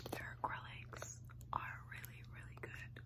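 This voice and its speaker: Whispering, a woman speaks at a very slow pace. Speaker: ASMR creator and nail artist. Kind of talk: ASMR nail supply haul, casual talk to camera. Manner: whispered, soft, slow. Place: home room. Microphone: phone near.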